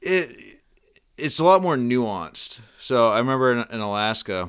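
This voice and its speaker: Someone with an American accent is heard on a very clean recording with a silent background. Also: man. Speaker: book club podcast host. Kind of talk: casual chat. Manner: halting, many repeats and fillers.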